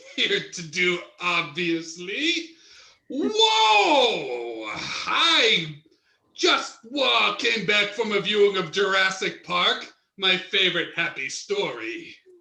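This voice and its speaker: Over a slight echo, a man puts on a high-pitched character voice and speaks at a very slow pace. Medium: stage play. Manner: enthusiastic, playful.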